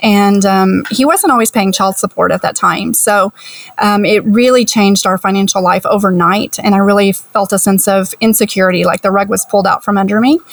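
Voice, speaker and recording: A woman's unremarkable speaking voice with an American accent, medium in pitch, at a fairly quick pace, with fairly even intonation, very even loudness and a dry, close sound with no echo. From US. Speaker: retired teacher, early retiree. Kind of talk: podcast interview.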